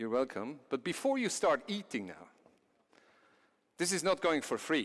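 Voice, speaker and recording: A fairly high male voice with vocal fry, a Swiss accent and very wide pitch swings. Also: moderate pace. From Switzerland. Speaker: company CEO, conference speaker. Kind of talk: conference presentation. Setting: stage with audience.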